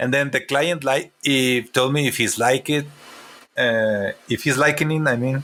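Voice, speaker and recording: Speaking fairly slowly with a Mexican accent, a man has a medium pitch and a bright, sharp tone. His loudness stays very even, and his intonation is fairly even. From Mexico, Chihuahua. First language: Spanish. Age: 40s. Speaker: comic artist and character designer. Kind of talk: interview. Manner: halting.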